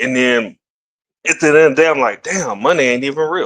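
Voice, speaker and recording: A man with a Louisiana accent talks at a fairly quick pace in a bright, sharp tone. The background is quiet. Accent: US Southern, Louisiana. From Shreveport, Louisiana. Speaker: podcast host. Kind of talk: casual chat.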